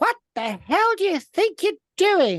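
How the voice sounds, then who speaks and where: Someone shouts in a put-on character voice at an extremely high pitch and a fairly slow pace. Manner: brave, bold, shouting.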